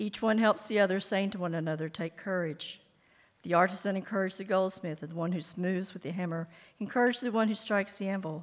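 With a plain, everyday voice, a woman speaks at a fairly quick pace at a medium pitch with ordinary pitch variation. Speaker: scripture reader. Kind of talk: reading aloud.

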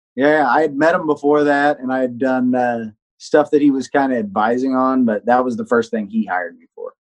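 A man speaks at a fairly quick pace with medium pitch, ordinary pitch variation, and big swings in loudness. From Texas, moved around a lot as a child. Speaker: professional touring guitarist. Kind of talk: interview. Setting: remote call.

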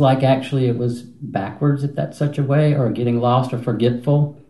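Somewhat breathy and dark, mellow in tone, a man speaks at a medium pitch and moderate pace with fairly even intonation. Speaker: retreat participant.

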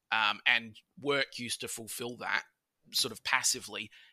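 A man with an Australian accent speaks in a bright, sharp tone with fairly even intonation, the sound dry and close with no echo. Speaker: podcast guest. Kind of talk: casual chat. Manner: loud.

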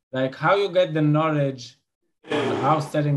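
This man speaks in an Israeli accent. His intonation stays fairly even. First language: Hebrew. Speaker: podcast host. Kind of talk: casual interview conversation.

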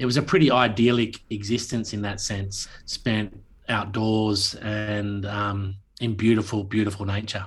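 A man's somewhat breathy, fairly low voice in an Australian accent, fairly slow pace, monotone, flat intonation. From Tasmania, Australia (Launceston). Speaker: actor and playwright. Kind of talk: interview.

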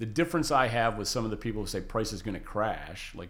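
A man with ordinary pitch variation and audible room echo. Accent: American. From western New York State. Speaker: lithium industry consultant. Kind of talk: interview. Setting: studio.

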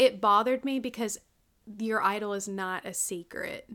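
Ordinary pitch variation in a plain, everyday voice, delivered at a fairly slow pace. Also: woman. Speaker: podcast co-host. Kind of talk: casual chat. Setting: remote recording. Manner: laughs often.

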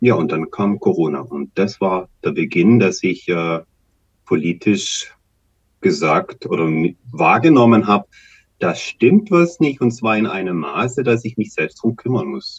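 Speaking at a fairly slow pace, a man with a medium-pitched voice and vocal fry sweeps through very wide pitch swings. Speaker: activist and local election candidate. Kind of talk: interview. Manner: halting.

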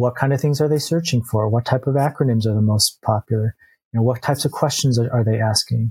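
Very fast and very even in loudness, a man speaks at a medium pitch with fairly even intonation, a dark, mellow tone and a somewhat breathy quality, the sound dry and close with no echo. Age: 50s. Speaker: software entrepreneur. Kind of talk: interview.

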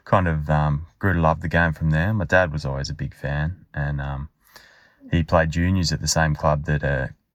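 A man with an Australian accent, very deep and low in pitch, at a moderate pace with fairly even intonation. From Western Australia (Albany). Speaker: listener sharing a fan story. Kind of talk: recorded voice memo.

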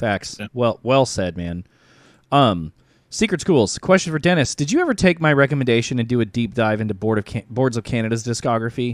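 With lively intonation and a fairly quick pace, a man of medium pitch speaks in an unremarkable speaking voice, the sound dry and close with no echo. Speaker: music promoter, DJ and talk show host. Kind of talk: casual livestream chat. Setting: online livestream.

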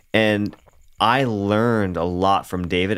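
Fairly low in pitch, a man's ordinary speaking voice has fairly even intonation on a very clean recording with a silent background. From Canada. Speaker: bass player. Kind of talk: casual interview chat.

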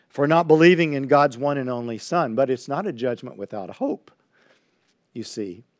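A man with a fairly high pitch speaks at a moderate pace with an American accent. It is a normal speaking voice with ordinary pitch variation. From Texas (Highlands, near Houston). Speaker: pastor. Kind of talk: sermon. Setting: livestream on social media.

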